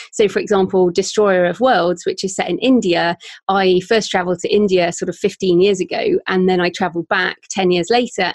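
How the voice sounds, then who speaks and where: In a British accent, a woman speaks at a moderate pace with hardly any pauses, a medium pitch and fairly even intonation, in a dry, close sound with no echo and a quiet background. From UK. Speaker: author and podcaster. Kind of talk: interview, with reading aloud from her novel.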